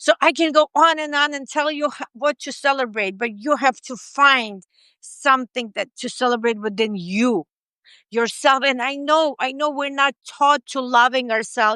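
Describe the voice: With a non-native accent, a woman speaks at a high pitch and a moderate pace, her tone bright, sharp, clear and smooth, in a dry, close sound with no echo. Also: ordinary pitch variation. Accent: foreign-accented English.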